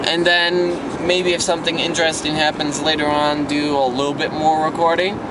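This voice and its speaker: Loud background noise accompanies a man whose voice sounds dry, with no echo. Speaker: vlogger. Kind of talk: casual vlog chat. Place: car. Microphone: phone near.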